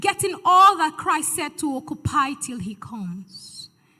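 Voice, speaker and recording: A woman's raised, projected voice, bright and sharp in tone, with very wide pitch swings. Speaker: spoken word poet. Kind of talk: spoken word poetry performance at a church event.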